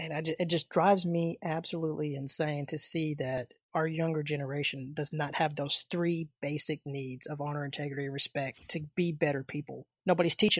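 A woman with a Southern US accent and a very deep, low pitch speaks fairly quickly with hardly any pauses and fairly even intonation, the sound dry and close with no echo. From Arkansas, US South. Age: 30s. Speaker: martial arts instructor. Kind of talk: interview.

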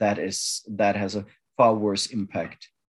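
A man talks at a very slow pace. He speaks with a German accent. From Germany. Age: 40s. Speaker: activist, former adult film actor. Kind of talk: interview.

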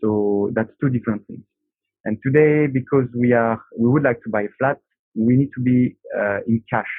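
With a French accent, the speaker keeps a moderate pace and fairly even intonation. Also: man, medium pitch for a man. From France. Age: 30s. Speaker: aerospace engineer, project manager. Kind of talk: casual chat. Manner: halting.

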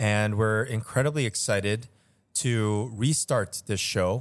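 An American-accented man with a normal speaking voice, fairly low pitch and ordinary pitch variation, in a very clean recording with a silent background. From Chicago, US Midwest. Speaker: restaurateur, podcast host. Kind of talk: casual chat.

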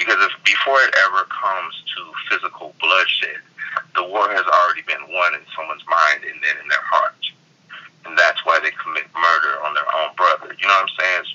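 A fairly quick pace amid noticeable background noise. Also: man. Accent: American. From US West Coast. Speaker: hip hop artist. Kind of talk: interview.

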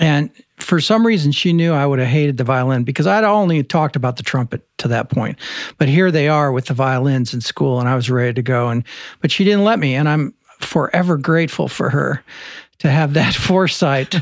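With an American accent, a man talks at a fairly quick pace in a plain, everyday voice. His fairly high pitch has lively intonation, while his loudness stays very even. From US Midwest, central Illinois. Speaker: trumpet professor. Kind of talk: casual interview chat.

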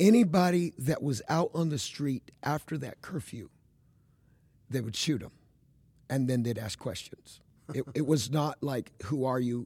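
A fairly high-pitched man's voice, dark and mellow in tone and somewhat breathy, with lively intonation, a fairly slow pace and long, frequent pauses. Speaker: evangelist. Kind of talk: casual chat.

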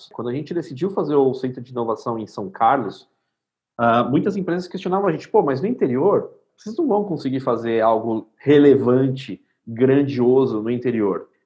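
With an unremarkable speaking voice, a man talks at medium pitch with lively intonation. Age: 30s. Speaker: innovation center CEO. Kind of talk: casual interview chat.

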